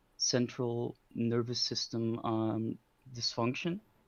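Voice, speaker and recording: A man's medium-pitched voice, very slow, in a monotone with flat intonation. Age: 20s. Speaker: caller. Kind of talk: casual call-in conversation. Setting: call via Discord. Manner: halting, many fillers.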